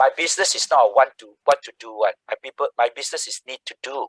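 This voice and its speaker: A man with a Singaporean accent is heard in a dry, close sound with no echo. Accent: Singaporean English (Singlish). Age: 60s. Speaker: social entrepreneur. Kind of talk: guest talk. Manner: animated.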